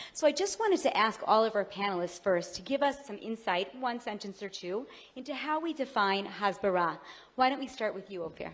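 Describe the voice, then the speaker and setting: A woman speaks at a fairly quick pace with lively intonation. Her pitch sits fairly high. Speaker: panel moderator. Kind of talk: panel moderation. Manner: fast.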